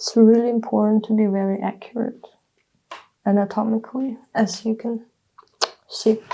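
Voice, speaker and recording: At a moderate pace, a woman with a Russian accent mumbles in a fairly high, monotone, flat voice, with long, frequent pauses. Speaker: artist. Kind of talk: casual talk while drawing. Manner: mumbling; halting.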